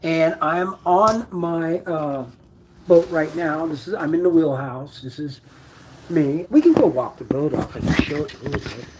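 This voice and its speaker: A fairly high-pitched man at a fairly slow pace, with noticeable background noise. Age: 60s. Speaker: boat-living vlogger. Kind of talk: live-stream boat tour. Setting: on a boat, walking around. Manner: hesitant, many fillers.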